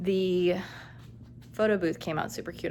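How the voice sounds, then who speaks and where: A woman with a plain, everyday voice and fairly low pitch speaks at a moderate pace with fairly even intonation on a very clean recording with a silent background. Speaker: elementary school teacher vlogger. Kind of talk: casual vlog. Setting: classroom.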